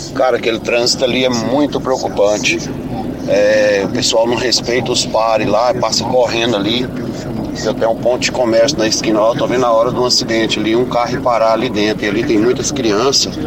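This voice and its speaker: Talking at a fairly quick pace and medium pitch, a man keeps very even loudness and monotone, flat intonation amid audible room echo and noticeable background noise. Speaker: radio listener. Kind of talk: recorded voice message.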